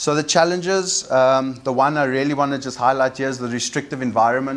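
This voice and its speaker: A man speaks at medium pitch with fairly even intonation. Noticeable background noise runs underneath. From South Africa, Cape Town (Cape Flats). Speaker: waste recycling entrepreneur. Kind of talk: conference presentation. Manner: halting, many fillers.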